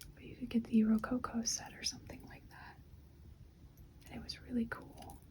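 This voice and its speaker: Whispering with long, frequent pauses, the speaker keeps a moderate pace. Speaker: ASMR creator. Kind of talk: ASMR soft-spoken lego build. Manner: soft-spoken.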